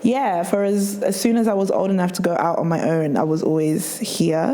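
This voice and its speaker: At a medium pitch, a woman talks at a moderate pace with ordinary pitch variation and very even loudness. Noticeable background noise and audible room echo fill the recording. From southern England, Reading. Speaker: DJ and record label founder. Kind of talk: interview.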